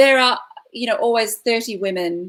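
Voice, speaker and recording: In an Australian accent, a woman talks at a moderate pace with lively intonation. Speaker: classical singer performing at corporate events. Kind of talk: live online panel interview. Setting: online video livestream.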